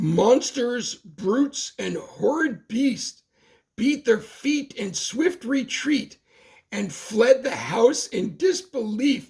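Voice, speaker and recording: A man at an extremely high pitch, speaking at a very slow pace. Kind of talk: bedtime story. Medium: read story. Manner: rhythmic, playful, sing-song.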